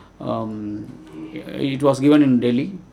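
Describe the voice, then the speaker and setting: A man with a fairly high voice and ordinary pitch movement talks while noticeable noise fills the background. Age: 60s. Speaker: social worker. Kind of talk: presentation. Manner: halting, many fillers.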